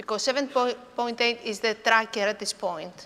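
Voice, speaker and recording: A woman speaks with a Greek accent at a fairly high pitch, her intonation lively. Noticeable background noise sits behind her. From Greece. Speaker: professor. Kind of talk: conference talk. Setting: conference hall with audience.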